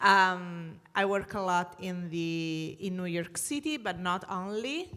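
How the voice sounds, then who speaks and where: With an Italian accent, a woman speaks at a medium pitch with ordinary pitch variation. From Italy. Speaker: energy sustainability consultant. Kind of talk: panel discussion. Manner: halting.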